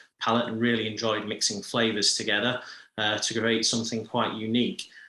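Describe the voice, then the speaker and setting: This man's tone is bright and sharp. His pitch sits fairly low. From UK. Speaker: coffee company founder. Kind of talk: business presentation. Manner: hesitant with many fillers.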